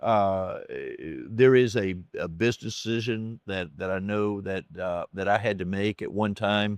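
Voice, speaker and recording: A man's fairly low voice in a Southern US accent, fairly slow and fairly even in intonation, with a dry, close sound and no echo. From US South. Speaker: optometrist. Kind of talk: interview conversation. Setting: recorded at a conference in Nashville. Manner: halting, many fillers and repetitions.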